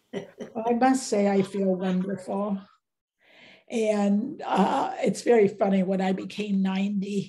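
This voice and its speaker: Against a quiet background, a woman with an American accent speaks at a fairly slow pace, her somewhat breathy, dark, mellow voice carrying fairly even intonation. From United States. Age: 90s. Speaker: visual artist. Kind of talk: interview. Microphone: video call.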